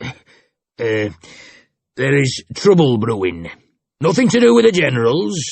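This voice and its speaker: In a put-on character voice, a raspy man at medium pitch moves at a fairly slow pace with very wide pitch swings and long, frequent pauses. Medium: read story. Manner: casual, blunt.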